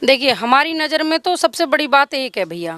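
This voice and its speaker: Here a woman speaks at a high pitch with a slight Haryanvi accent. The sound is dry and close, with no echo. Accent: slight Haryanvi tinge. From Haryana, India. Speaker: local resident interviewed. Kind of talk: street interview.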